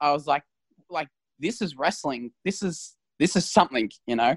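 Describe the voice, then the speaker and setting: Someone with an Australian accent talks at a moderate pace in a dry, close sound with no echo. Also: man. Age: young. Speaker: professional wrestler. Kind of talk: interview.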